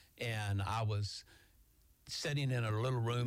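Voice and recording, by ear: A man talks with ordinary pitch variation. His voice sits fairly low.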